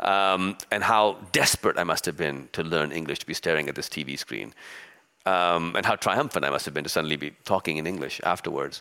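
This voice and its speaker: Bright and sharp in tone, a man's very deep, low voice carries vocal fry, ordinary pitch variation and a fairly quick pace. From Pakistan. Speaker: novelist. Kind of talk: onstage author interview. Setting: stage with audience. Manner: reflective, hesitant with fillers.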